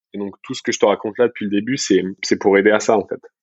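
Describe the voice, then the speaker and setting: Very fast delivery with fairly even intonation. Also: man. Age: 30s. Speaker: entrepreneur. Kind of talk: podcast interview.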